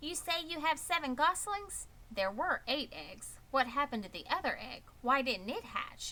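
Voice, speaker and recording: A woman does a put-on character voice, high-pitched and at a moderate pace, with clear background noise behind her. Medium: read story. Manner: sly, curt.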